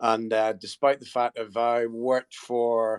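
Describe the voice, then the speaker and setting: In a Scottish accent, a man speaks at medium pitch with monotone, flat intonation. The sound is dry and close, with no echo. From Scotland, near St Andrews. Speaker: golf company marketing executive. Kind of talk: panel discussion in a live audio space. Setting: online audio room.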